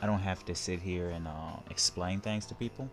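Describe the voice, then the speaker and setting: Over music in the background, a man speaks with a very deep, low pitch and ordinary pitch variation. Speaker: gaming YouTuber. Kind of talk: let's play commentary. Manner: fast; rambling, halting.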